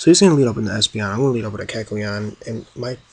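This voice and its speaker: A man talks quietly at a medium pitch. Noticeable background noise can be heard. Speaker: gaming youtuber. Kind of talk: game commentary. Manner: quiet, subdued. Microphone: new laptop mic.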